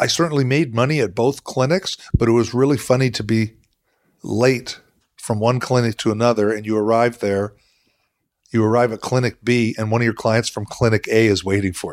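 On a very clean recording with a silent background, a man with an unremarkable speaking voice talks at a fairly quick pace and medium pitch with ordinary pitch variation. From southwestern Ontario, Canada (London). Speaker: veterinarian. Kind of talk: interview conversation.

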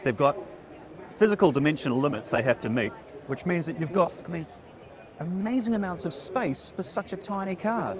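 Over noticeable background noise, a man with a New Zealand accent speaks with very wide pitch swings. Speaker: EV podcast co-host. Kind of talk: casual walkaround commentary. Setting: busy expo hall. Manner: animated.

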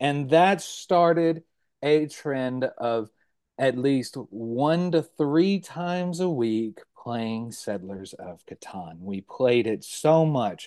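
A man's dark, mellow voice at a very slow pace, with very wide pitch swings and big swings in loudness over a quiet background. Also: fairly high pitch for a man. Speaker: content creator. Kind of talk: casual interview chat.

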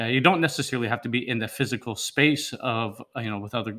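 Here a man speaks with an American accent. His tone is bright and sharp, and his intonation fairly even. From US, Seattle area. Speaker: online school co-founder. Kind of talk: interview. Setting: video call.

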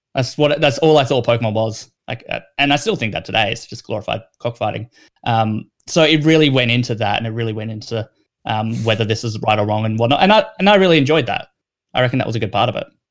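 In an Australian accent, a man speaks at a very fast pace with ordinary pitch variation. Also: medium pitch for a man. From South Australia. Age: 20s. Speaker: gaming news writer and editor. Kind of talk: casual chat.

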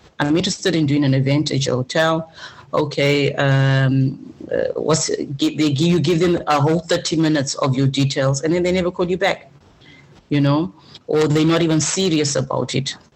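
A woman speaks with a very deep, low pitch at a moderate pace. Her loudness stays very even, and her intonation is fairly even. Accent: Zimbabwean. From Zimbabwe. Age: 40s. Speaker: business coach. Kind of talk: interview. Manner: direct.

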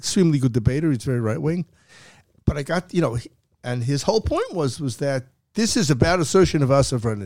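Very fast speech with lively intonation. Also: man, fairly high pitch for a man. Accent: American. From US, New York City. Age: 70s. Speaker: academic. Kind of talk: interview. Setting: studio. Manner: halting, with many repetitions.

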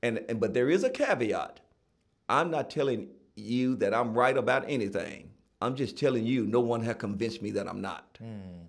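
Medium pitch, ordinary pitch variation and a moderate pace from a man. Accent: Southern US. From Tennessee (Gallatin). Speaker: author and nonprofit founder. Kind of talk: interview.

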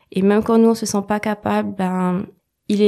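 A woman's dark, mellow tone, monotone and flat in intonation, at a moderate pace on a very clean recording with a silent background. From mainland France. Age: 20s. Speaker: artist and painter. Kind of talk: interview.

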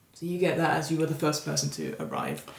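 Her pitch sits very deep and low. A woman is heard over noticeable background noise. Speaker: podcast host and game master. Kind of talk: horror tabletop narration, scene-setting description read as a game master. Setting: tabletop game session recorded for podcast. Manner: descriptive and vivid, storytelling pace.

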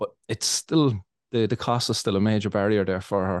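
A man with an Irish accent speaks at a fairly quick pace in a fairly low pitch with ordinary pitch variation. The sound is dry and close with no echo, over a quiet background. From Ireland. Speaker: cannabis podcast host. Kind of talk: casual interview.

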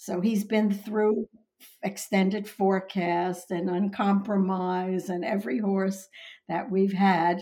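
In an American accent, a woman speaks at a very slow pace and medium pitch. Her tone is dark and mellow, and somewhat breathy. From Long Island, New York. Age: 80s. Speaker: horse breeder and owner. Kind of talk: interview storytelling.

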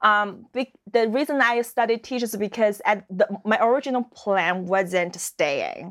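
With a Chinese accent, a woman speaks at a fairly slow pace with hardly any pauses, a fairly high pitch and lively intonation, in a dry, close sound with no echo. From China. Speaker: fashion model. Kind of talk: interview. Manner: halting.

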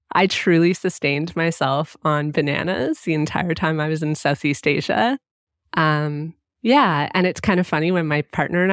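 In a very clean recording with a silent background and a dry, close sound with no echo, a woman with a Canadian accent and an unremarkable speaking voice talks at a moderate pace with a fairly low pitch. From Canada (Ottawa area). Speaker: travel podcast host. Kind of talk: casual interview chat.

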